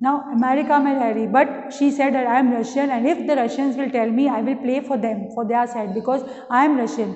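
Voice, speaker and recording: Someone with an Indian accent speaks at a fairly quick pace with ordinary pitch variation. There is audible room echo. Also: woman. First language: Hindi. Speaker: school English teacher. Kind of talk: lecture. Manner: reads textbook passages aloud with explanations. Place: classroom. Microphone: camera far.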